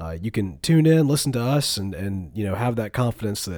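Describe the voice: A man speaks at a fairly quick pace in a fairly low pitch, his dark, mellow tone moving through big pitch swings.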